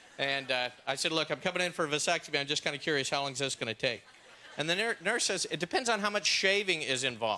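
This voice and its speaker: Talking at a very fast pace with an American accent, a man uses a fairly high pitch, lively intonation and very even loudness against noticeable background noise. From Los Angeles, California. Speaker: stand-up comedian. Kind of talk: stand-up comedy set.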